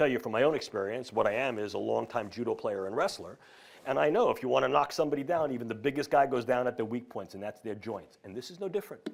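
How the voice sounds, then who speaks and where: In a New York accent, the speaker talks very fast with lively intonation, vocal fry and big swings in loudness. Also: man, medium pitch for a man. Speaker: professor. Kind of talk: lecture.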